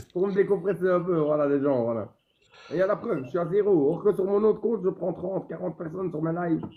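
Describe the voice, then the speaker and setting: Speaking at a very fast pace, a man uses a high pitch for a man with ordinary pitch variation. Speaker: social media streamer. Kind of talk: casual chat.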